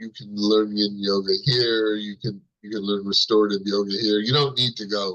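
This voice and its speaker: Fairly low-pitched, a man talks at a moderate pace with a bright, sharp tone and a monotone, flat intonation. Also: hardly any pauses. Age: 60s. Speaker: meditation teacher. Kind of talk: casual interview. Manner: halting, many fillers.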